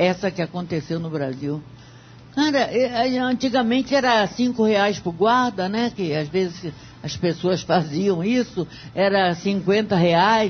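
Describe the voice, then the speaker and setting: At a fairly slow pace, a woman talks with a somewhat breathy, medium-pitched voice and lively intonation. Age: 70s. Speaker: radio debate panelist. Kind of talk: radio debate.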